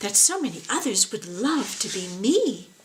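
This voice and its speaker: A female-sounding put-on character voice is fairly high in pitch. It moves at a moderate pace. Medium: read story.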